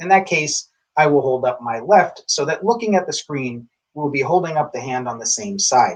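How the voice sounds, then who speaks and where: This man has an ordinary speaking voice, fairly high in pitch for a man, with lively intonation and a moderate pace. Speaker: tai chi instructor. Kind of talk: instructional introduction to camera.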